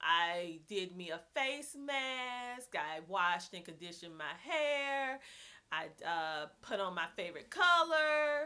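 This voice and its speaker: A woman with an American accent speaks at a very slow pace and medium pitch, in a bright, sharp tone. Her pitch swings very widely and her loudness rises and falls sharply. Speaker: homeschooling mom vlogger. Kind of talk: casual vlog talk. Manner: animated, chatty.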